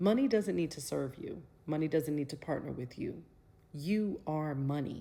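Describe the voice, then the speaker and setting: A woman's very deep, low voice with a dark, mellow tone and lively intonation. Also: moderate pace. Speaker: motivational speaker. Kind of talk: motivational talk. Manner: animated.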